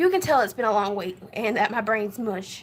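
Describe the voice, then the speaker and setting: In a Southern US accent, a woman talks at a fairly quick pace. Her pitch is fairly high. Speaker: vlogger. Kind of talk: casual vlog update.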